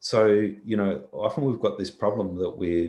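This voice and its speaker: The recording is very clean, and the background is silent. A man with an Australian accent talks at a moderate pace. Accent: thick Australian. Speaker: visual effects software engineer. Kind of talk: conference talk Q&A.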